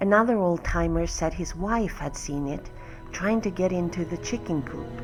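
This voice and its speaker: The voice moves at a fairly slow pace with ordinary pitch variation as music plays in the background. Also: woman. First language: not English. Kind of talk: horror story reading.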